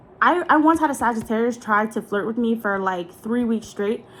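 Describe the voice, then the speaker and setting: A woman speaks at a fairly high pitch and a moderate pace. Her intonation is lively and her tone animated. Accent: American. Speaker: content creator. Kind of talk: casual chat.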